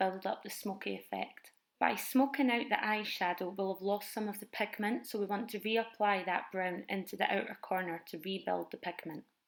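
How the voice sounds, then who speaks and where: A Scottish accent at a moderate pace, with fairly even intonation and hardly any pauses. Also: woman. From Edinburgh, Scotland. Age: 20s. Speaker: makeup vlogger. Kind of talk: makeup tutorial voiceover.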